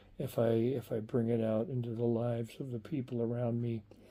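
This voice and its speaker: A man's dark, mellow tone in a monotone, flat intonation, at medium pitch and a moderate pace. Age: 70s. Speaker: video blogger. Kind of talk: personal reflective vlog monologue. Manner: halting, many repetitions and fillers.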